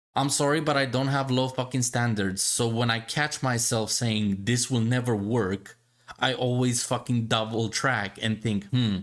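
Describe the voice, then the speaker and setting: Someone with a non-native accent speaks over noticeable background noise. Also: man. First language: not English. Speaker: gaming podcast host. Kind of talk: casual chat reacting to a video. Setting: live stream. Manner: animated.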